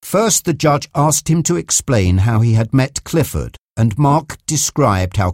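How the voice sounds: A natural reading voice with lively intonation comes through against a quiet background.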